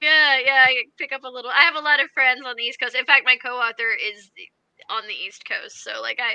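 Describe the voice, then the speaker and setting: Her voice raised and projected, an American-accented woman speaks at a fairly quick pace in a high pitch with a bright, sharp tone, fairly even intonation and big swings in loudness, dry and close with no echo. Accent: slight Kansas accent, mostly eliminated. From rural Kansas. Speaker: fantasy author. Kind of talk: casual chat.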